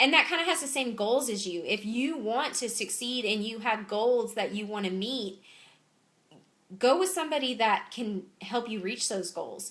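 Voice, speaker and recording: The speaker has an animated tone and a Southern US accent. Intonation is lively and the pace moderate. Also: woman, fairly high pitch for a woman. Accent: Southern US (Georgia). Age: 30s. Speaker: clothing sales consultant. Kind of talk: live-streamed Q&A. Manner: animated, chatty.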